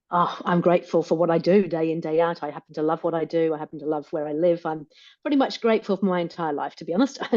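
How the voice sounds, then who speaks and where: Very rapid delivery from a woman, her voice fairly low and its pitch varying in an ordinary way. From England, Rutland. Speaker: business coach and author. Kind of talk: interview. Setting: podcast. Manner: energetic.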